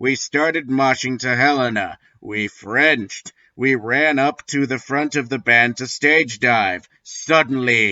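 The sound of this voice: Reading done in an unforced reading voice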